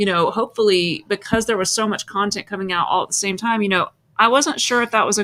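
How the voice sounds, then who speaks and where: In a very clean recording with a silent background, a woman with a medium-pitched voice and an unremarkable speaking voice talks at a fairly quick pace with fairly even intonation. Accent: American. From United States. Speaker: livestream host. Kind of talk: casual chat.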